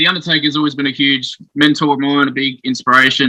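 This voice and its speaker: A man with an Australian accent talks at a very fast pace. His voice is fairly high-pitched, with a bright, sharp tone. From South Australia (Adelaide). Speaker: professional wrestler. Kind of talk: casual interview. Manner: hesitant, many fillers.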